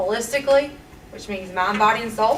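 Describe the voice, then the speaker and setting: The speaker has a Southern US accent and fairly even intonation. Noticeable background noise and audible room echo fill the recording. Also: woman. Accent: country, Southern. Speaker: teacher and nurse. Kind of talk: public comment at board meeting. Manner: earnest, pleading.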